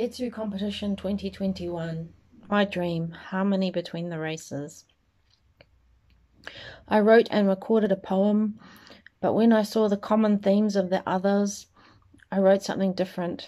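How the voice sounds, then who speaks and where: Against a quiet background, a woman with a dark, mellow tone speaks at a moderate pace with fairly even intonation and long, frequent pauses. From New Zealand. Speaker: spoken word poet. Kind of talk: spoken word poetry reading. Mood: earnest, serious. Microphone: phone near.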